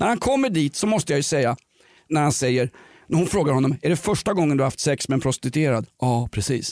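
A man with a normal speaking voice talks at a fairly quick pace, fairly high in pitch, with lively intonation and very even loudness. The recording is very clean and dry, close with no echo and a silent background. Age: 50s. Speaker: podcast host. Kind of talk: comedic casual chat.

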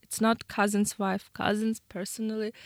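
A woman speaks with a Ukrainian accent. The sound is dry and close, with no echo. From Ukraine. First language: Ukrainian or Russian. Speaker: war refugee, business owner. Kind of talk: radio interview. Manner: halting.

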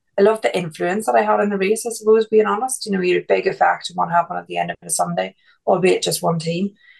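Someone with an Irish accent talks at a very fast pace with big swings in loudness. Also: woman. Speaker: F1 pundit and former race strategist. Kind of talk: casual chat.

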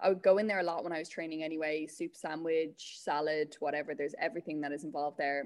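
A woman with an Irish accent talks very fast in a very deep, low voice. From Ireland, County Meath. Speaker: Olympic athlete. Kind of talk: radio interview.

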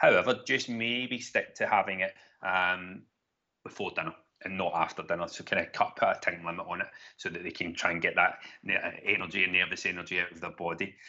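A man talks at a fairly quick pace with a Glaswegian accent, his loudness swinging widely. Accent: Glaswegian Scottish. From Donegal, raised in Glasgow. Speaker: sleep consultant. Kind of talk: casual chat.

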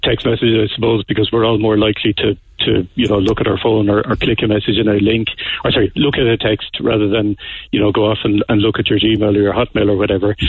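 A man speaks very fast with an Irish accent, his intonation monotone and flat. His loudness stays very even, and noticeable background noise sits behind him. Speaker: bank security expert. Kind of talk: radio interview. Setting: phone call.

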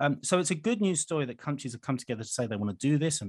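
Against a quiet background, a man with a British accent talks at a very fast pace with lively intonation. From UK. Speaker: wildlife charity chief executive. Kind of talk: radio interview. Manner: hesitant, many fillers.

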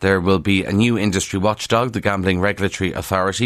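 A man with a Kildare Irish accent and a fairly low pitch. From Ireland, County Kildare. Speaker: radio newspaper review presenter. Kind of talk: radio newspaper review. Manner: conversational, informal.

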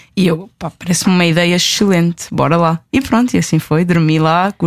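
With a normal speaking voice, a woman talks at a moderate pace in a fairly low pitch and fairly even intonation, heard in a very clean recording with a silent background. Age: 20s. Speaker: traveller and blogger. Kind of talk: interview.

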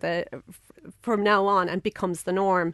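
In a Cork accent, a woman speaks at a medium pitch, with a dry, close sound with no echo. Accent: Cork Irish. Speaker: business network president, engineer in medical devices. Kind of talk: interview. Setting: studio.

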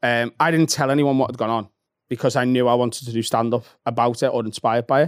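In a Liverpool accent, the voice moves at a very fast pace with fairly even intonation and very even loudness, the sound dry and close with no echo. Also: man, medium pitch for a man. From Liverpool, England. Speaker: comedian. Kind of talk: casual chat. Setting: studio.

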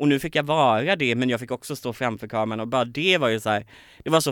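A man at medium pitch talks at a very fast pace with ordinary pitch variation, in a very clean recording with a silent background. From Småland, Sweden (near Kalmar). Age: 20s. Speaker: TV personality and song contest participant. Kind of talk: casual interview. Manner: energetic.

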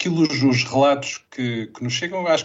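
A man speaks with a European Portuguese accent. His pitch varies in an ordinary way. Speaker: public health expert. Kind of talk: interview. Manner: halting.

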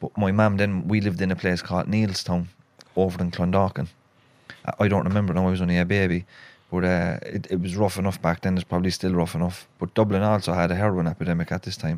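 A man's very deep, low voice at a very fast pace, in a monotone with flat intonation. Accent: Cork. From Cork, Ireland. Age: 30s. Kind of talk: casual conversational chat. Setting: studio with cameras.

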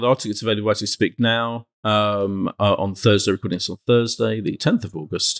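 With a British accent, a man talks at a fairly quick pace in a dry, close sound with no echo. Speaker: podcast host. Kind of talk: casual chat.

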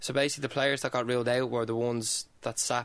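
This man talks at a very fast pace with an Irish accent. His medium-pitched voice stays monotone and flat. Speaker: footballer. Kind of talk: casual chat.

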